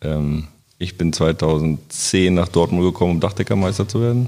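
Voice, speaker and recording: A man speaks with a very deep, low pitch. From Germany, Braunschweig. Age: 30s. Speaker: roofer. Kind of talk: casual chat.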